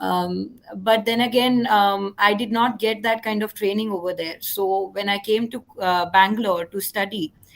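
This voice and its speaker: Speaking with an Indian accent, a woman keeps her intonation fairly even at a medium pitch. She goes at a moderate pace with hardly any pauses. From India, Raipur, Chhattisgarh. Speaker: psychologist and entrepreneur. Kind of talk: panel discussion. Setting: online livestream. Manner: hesitant, many fillers.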